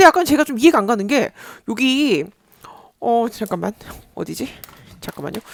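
The speech moves at a fairly quick pace but is broken by long, frequent pauses. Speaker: YouTuber reading foreign news. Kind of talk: casual solo commentary. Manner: rambling with fillers and hesitations.

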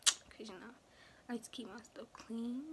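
Noticeable background noise runs under this recording. A woman speaks at a very slow pace. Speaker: vlogger. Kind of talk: casual vlog chat. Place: home room. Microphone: phone near.

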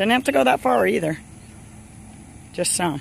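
The recording has a dry sound with no echo and light background noise. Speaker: golf coach. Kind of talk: coaching instruction. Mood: encouraging, upbeat. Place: open country.

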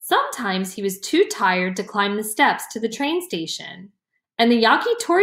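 The text is heard reading aloud in a natural voice, the background around it quiet.

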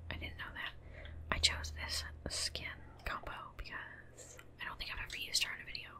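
Whispering at a fairly quick pace, the speaker leaves long, frequent pauses and swings widely in loudness over noticeable background noise. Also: woman. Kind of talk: ASMR gaming commentary. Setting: home studio, desk mic. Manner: whispered; soft-spoken, relaxed.

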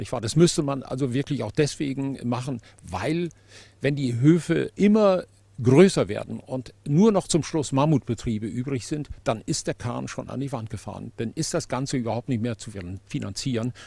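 Somewhat breathy and dark, mellow in tone, a man speaks with lively intonation in a dry recording with no echo. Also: moderate pace. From Germany. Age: 70s. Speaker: farmer. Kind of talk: interview. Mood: earnest, critical of policy. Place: open country. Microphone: handheld.

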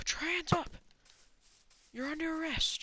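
Shouting in a put-on character voice, a woman hits an extremely high pitch. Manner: playful, shouting.

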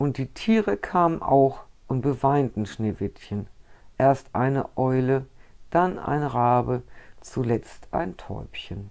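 A woman with a dark, mellow tone and a very deep, low pitch speaks at a very slow pace. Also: quiet background. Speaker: storyteller. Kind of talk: reading a fairy tale aloud. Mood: calm, gentle storytelling. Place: home room.

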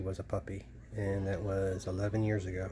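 The man's voice sits fairly low, with noticeable noise in the background. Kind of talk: casual home chat. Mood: warm, doting. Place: home room. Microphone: phone near.

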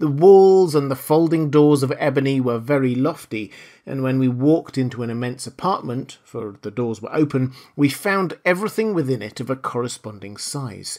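A man speaks in a theatrical, dark, mellow tone. The recording is very clean, the background silent. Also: medium pitch for a man, lively intonation, moderate pace. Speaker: audiobook narrator. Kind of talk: dramatic audiobook narration. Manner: gripping, theatrical storytelling with suspenseful pacing; formal.

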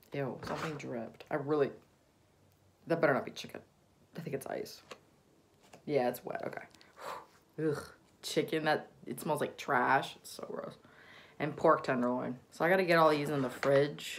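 This speaker has an American accent, a moderate pace, and long, frequent pauses. Loudness swings a lot, pitch varies in an ordinary way, and there is light background noise. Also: woman, very deep, low pitch for a woman. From US South. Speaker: YouTuber. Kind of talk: unboxing vlog. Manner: casual, rambling. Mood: light, playful, some disgust. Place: home room. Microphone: phone near.

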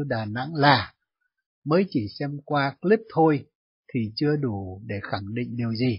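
A man talks at a fairly slow pace with lively intonation and a somewhat breathy voice. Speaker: radio host answering listener mail. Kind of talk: radio commentary. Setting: studio.

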